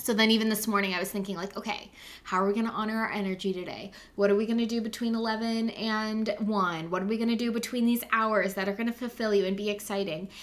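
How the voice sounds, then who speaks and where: An animated tone at a very fast pace. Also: woman, fairly high pitch for a woman. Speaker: podcast co-host and business coach. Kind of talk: casual chat and interview.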